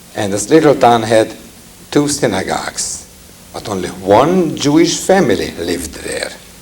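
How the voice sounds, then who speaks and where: Amid audible room echo and noticeable background noise, a man with a medium pitch speaks at a fairly slow pace, his pitch swinging very widely and his speech broken by long, frequent pauses. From Hungary. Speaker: cantor and Holocaust survivor speaker. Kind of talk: public talk to audience. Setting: lecture hall with audience and microphones.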